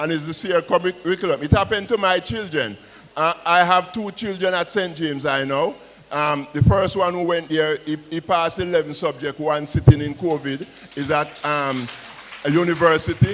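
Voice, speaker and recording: Fairly high in pitch, a man speaks against noticeable background noise. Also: ordinary pitch variation, moderate pace. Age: 60s. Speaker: school principal. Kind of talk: panel discussion.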